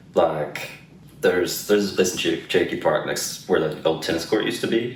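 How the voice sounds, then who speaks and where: A man talks at a fairly quick pace. Audible room echo and noticeable background noise surround him. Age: 20s. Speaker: interviewee. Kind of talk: interview.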